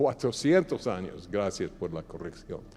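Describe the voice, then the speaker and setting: The speaker has a non-native accent. Music plays in the background. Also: man. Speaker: pastor. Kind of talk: sermon. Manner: halting at times.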